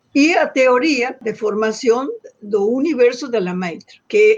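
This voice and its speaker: Fairly high in pitch, a woman speaks at a very slow pace. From northern Argentina (Santiago del Estero). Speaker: astronomer. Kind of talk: interview. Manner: halting, frequent repetitions.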